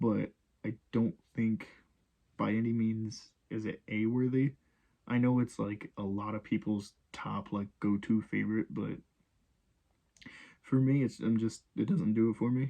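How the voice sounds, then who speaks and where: Quiet and fairly slow, the speech is broken by long, frequent pauses. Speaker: gaming YouTuber. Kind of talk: casual commentary. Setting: home recording at night.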